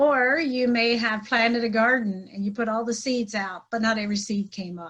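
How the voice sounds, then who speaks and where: A woman speaks at a moderate pace in a fairly high voice. Her intonation stays fairly even against a quiet background. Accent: Pennsylvania. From Pennsylvania Dutch community, US. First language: Pennsylvania Dutch. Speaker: trainer and life coach. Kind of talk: podcast interview.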